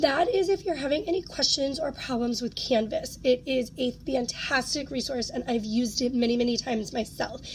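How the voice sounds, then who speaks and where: A high-pitched woman's voice at a moderate pace, with hardly any pauses, ordinary pitch variation and noticeable background noise. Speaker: college professor. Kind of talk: instructional video walkthrough. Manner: casual, with frequent fillers.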